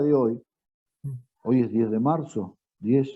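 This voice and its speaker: Speaking at a very slow pace, a man talks with a Rioplatense accent. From Argentina. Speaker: retired teacher. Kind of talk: interview answer.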